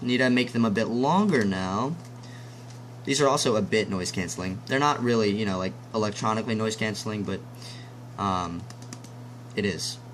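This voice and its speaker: With a fairly low pitch and ordinary pitch variation, a man talks at a moderate pace, leaving long, frequent pauses. Noticeable background noise and audible room echo fill the recording. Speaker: tech reviewer. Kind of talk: product review. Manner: casual, hesitant with many ums; loud.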